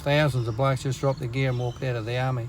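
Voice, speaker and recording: A man speaks with an Australian accent. Noticeable background noise sits under his voice. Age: 60s. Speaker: army reserve veteran. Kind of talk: storytelling. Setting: in a car.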